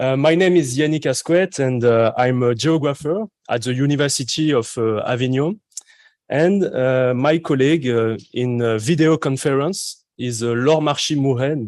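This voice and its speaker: Speaking in a French accent, a man keeps to a medium pitch with ordinary pitch variation. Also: moderate pace. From France. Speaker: geographer, academic. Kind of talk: conference presentation. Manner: halting.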